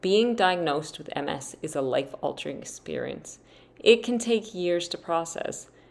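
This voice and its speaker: A woman with an unremarkable speaking voice in a Canadian accent, fairly low in pitch, at a moderate pace with lively intonation. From Canada. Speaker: podcast host. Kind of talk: podcast interview.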